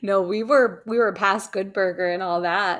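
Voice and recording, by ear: A woman with a fairly bright tone and fairly even intonation. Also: medium pitch for a woman, moderate pace.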